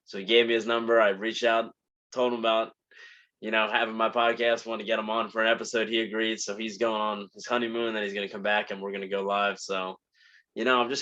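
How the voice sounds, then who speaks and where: A man with a New Jersey accent talks at a very fast pace and a medium pitch, his intonation monotone and flat. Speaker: podcast host. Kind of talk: casual monologue. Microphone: new microphone.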